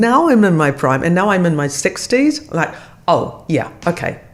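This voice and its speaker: A woman with a New Zealand accent speaks at a fairly low pitch with very wide pitch swings, over noticeable background noise. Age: 60s. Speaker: actor. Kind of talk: casual chat.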